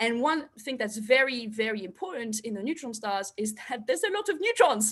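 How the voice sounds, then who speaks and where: Speaking at a fairly quick pace with a non-native accent, a woman's pitch swings very widely. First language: not English. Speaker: astrophysicist. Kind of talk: public science talk. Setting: online live stream. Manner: hesitant, many fillers.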